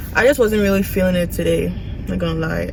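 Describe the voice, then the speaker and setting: A woman is speaking with audible room echo. Noticeable background noise runs under the recording. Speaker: nursing student vlogger. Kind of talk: casual vlog.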